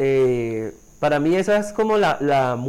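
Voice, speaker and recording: This is a man with an ordinary speaking voice. His pitch is fairly high, with ordinary pitch variation. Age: 20s. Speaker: podcast co-host. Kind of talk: casual chat.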